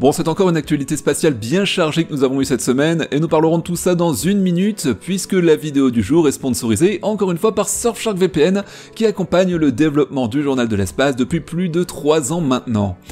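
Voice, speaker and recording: Lively intonation at a fairly quick pace with hardly any pauses, over music in the background. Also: man, fairly high pitch for a man. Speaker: science news presenter. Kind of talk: space news show presentation. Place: home room. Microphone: studio mic.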